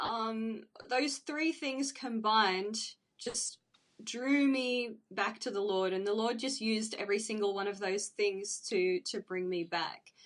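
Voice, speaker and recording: A woman at a fairly slow pace, fairly high in pitch with ordinary pitch variation. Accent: Australian. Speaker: church member. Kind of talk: interview.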